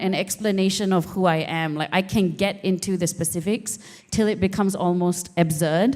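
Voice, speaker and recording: With a dark, mellow tone, a woman talks at a medium pitch. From Singapore. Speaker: poet. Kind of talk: panel conversation.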